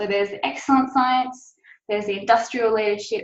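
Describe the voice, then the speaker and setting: A woman's fairly high voice in an Australian accent, with ordinary pitch variation. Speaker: science policy officer. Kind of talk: webinar presentation. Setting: online webinar. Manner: frequent filler 'um'.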